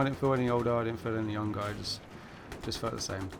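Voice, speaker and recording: A man speaks in an English accent at medium pitch with ordinary variation. Noticeable background noise can be heard. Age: 20s. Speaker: gaming commentator. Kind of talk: gameplay commentary. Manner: hesitant, many fillers.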